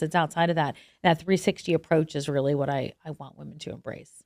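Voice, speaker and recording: Recorded dry and close with no echo against a silent background, the very clean clip has a woman speaking at a fairly quick pace. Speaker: TV journalist and menopause advocate. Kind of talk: podcast interview. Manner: loud; animated.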